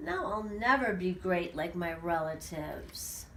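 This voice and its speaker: Putting on a character voice, a woman talks at a fairly slow pace with fairly low pitch over clear background noise. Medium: read story.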